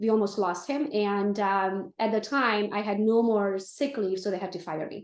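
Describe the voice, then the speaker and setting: Spoken in a Romanian accent at a moderate pace, the voice shows ordinary pitch variation and hardly any pauses. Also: woman, medium pitch for a woman. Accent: Romanian accent, noticeable. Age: 40s. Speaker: real estate team leader. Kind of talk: interview. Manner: animated.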